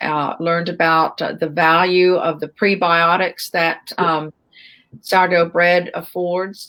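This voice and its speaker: An ordinary speaking voice at a fairly slow pace, with an American accent. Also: woman. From United States. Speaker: baker and bread educator. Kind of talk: interview. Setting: live stream.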